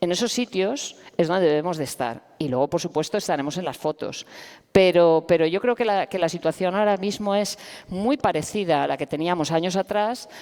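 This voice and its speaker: A woman's fairly low voice, an unremarkable speaking voice, with lively intonation at a fairly quick pace. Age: 50s. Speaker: professor and activist. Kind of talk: panel discussion. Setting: stage with audience.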